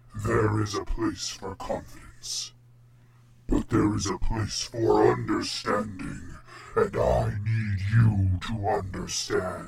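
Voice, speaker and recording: In a put-on character voice, a man speaks at a fairly slow pace with a weary tone. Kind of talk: epic fantasy god voice. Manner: grave, imposing, weary.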